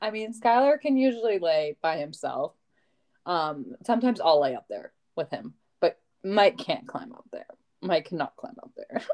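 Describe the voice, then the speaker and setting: A woman's fairly high, animated voice with vocal fry, very wide pitch swings and big swings in loudness, at a moderate pace, in a dry, close sound with no echo. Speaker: podcast host, homeschooling mother. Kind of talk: casual chat. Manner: animated, laughing.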